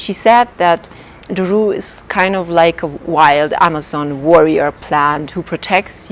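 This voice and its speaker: Against noticeable background noise, a woman with a non-native accent speaks in a fairly low voice with ordinary pitch variation. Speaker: life coach. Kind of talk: vlog talk to camera.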